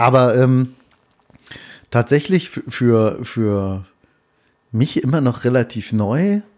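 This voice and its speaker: With long, frequent pauses, a man speaks at a very slow pace using lively intonation. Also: medium pitch for a man. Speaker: podcast host. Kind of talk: casual chat. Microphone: poor audio quality.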